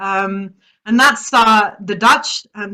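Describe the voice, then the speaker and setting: A woman's bright, sharp voice with a British accent. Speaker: social mobility expert. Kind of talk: webinar presentation.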